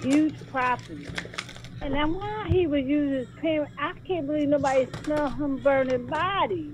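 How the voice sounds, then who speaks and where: A woman speaks at a moderate pace, with big swings in loudness. Background noise is noticeable. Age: 50s. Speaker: call-in participant. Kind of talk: casual chat.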